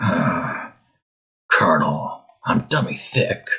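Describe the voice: A man performs a put-on character voice. It comes out raspy.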